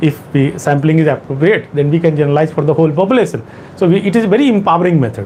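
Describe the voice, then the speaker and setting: Amid noticeable background noise and audible room echo, a man with an Indian accent talks at a very fast pace, fairly high in pitch, with lively intonation and very even loudness. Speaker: exam coaching teacher. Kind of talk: lecture. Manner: halting.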